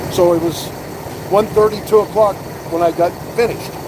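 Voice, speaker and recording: Against noticeable background noise, a man speaks in an animated tone at a fairly quick pace. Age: 60s. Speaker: truck driver. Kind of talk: casual chat. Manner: animated storytelling.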